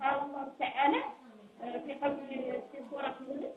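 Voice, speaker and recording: Over noticeable background noise and audible room echo, a woman speaks at a moderate pace. Her voice is high. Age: 70s. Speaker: caller. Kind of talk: phone-in question.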